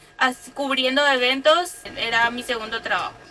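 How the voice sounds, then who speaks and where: A woman with a high pitch projects a raised voice in flat, monotone intonation at a fairly slow pace. Noticeable noise sits in the background. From Paraguay, Capiatá (Central department). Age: 20s. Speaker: van-life vlogger. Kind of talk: casual chat.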